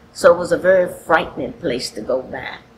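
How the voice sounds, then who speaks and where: Noticeable background noise runs under speech delivered at a moderate pace. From Charlottesville, Virginia, US South. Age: 70s. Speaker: faith leader. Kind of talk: testimony.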